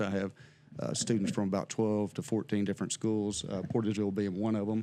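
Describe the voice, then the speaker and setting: Here is a man with a fairly low pitch. He talks at a very fast pace. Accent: American. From southeast Missouri. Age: old. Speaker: criminal justice instructor. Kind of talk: casual interview chat.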